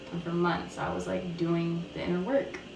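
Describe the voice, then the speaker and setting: A woman talks at a moderate pace. There is noticeable background noise and audible room echo. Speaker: YouTuber sharing personal testimony. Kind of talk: testimony. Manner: casual, filler-heavy.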